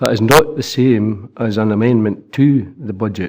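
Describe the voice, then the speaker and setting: A man speaks at medium pitch with fairly even intonation. The recording is very clean, with a silent background. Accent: Scottish. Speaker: local councillor. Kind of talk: council meeting debate.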